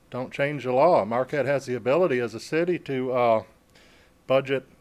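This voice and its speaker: The man talks fairly quickly. His voice has a medium pitch. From downstate Michigan. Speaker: military veteran, public commenter. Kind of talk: public comment at city meeting. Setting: city commission meeting hall.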